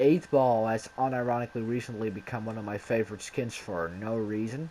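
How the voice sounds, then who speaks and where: A man has an ordinary speaking voice at medium pitch. He keeps a moderate pace and fairly even intonation. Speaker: gaming youtuber. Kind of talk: casual gameplay commentary.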